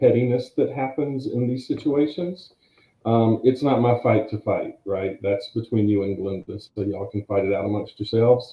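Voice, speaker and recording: Speaking with an American accent, a man of medium pitch keeps a moderate pace and ordinary pitch variation. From US South. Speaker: guest on live stream. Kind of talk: casual chat. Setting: live stream.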